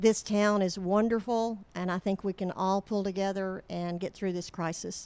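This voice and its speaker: The voice is monotone, with flat intonation. It moves at a moderate pace with hardly any pauses. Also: woman, medium pitch for a woman. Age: 70s. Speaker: city council candidate. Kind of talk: candidate interview.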